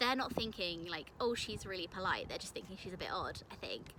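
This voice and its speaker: A woman talks in a British accent. Her pace is fairly quick. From UK. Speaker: English teacher abroad and vlogger. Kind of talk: casual vlog. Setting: outdoors in a park. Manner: casual, filler-heavy.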